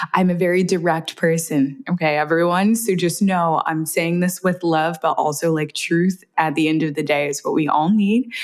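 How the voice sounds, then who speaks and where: A woman with an unremarkable speaking voice talks at a fairly low pitch and moderate pace, with ordinary pitch variation. Her loudness is very even, with hardly any pauses. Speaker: menstrual health educator. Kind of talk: casual interview chat.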